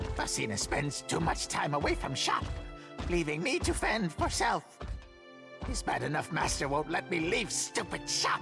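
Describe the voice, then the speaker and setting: Over clear background music, a man performs a put-on character voice at a moderate pace. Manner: grumbling, muttering.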